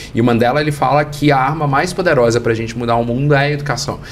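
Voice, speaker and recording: Amid noticeable background noise, the speaker talks very fast in a Minas Gerais accent with ordinary pitch variation. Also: man. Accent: Minas Gerais Brazilian Portuguese. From Brazil, Minas Gerais. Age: 40s. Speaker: international education expert. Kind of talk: interview.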